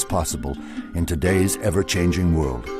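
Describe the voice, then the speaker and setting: Music plays in the background as a man talks fairly quickly. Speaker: narrator. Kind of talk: documentary narration.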